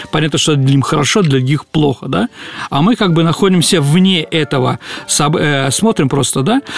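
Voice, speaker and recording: A man with a fairly high pitch talks at a moderate pace with lively intonation and very even loudness. The sound is dry and close with no echo, though background noise is noticeable. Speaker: historian, radio show host. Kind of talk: casual radio talk about history. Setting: radio studio.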